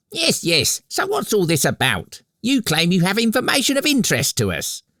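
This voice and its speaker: A man puts on a character voice with a high pitch at a moderate pace. The sound is dry and close, with no echo. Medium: audio drama. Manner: sarcastic.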